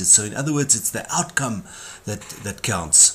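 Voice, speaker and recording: Lively intonation marks this man's fairly quick speech. There is a somewhat breathy quality to his voice. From South Africa. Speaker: corporate trainer. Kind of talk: lecture. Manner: repetitive, with restarts and fillers.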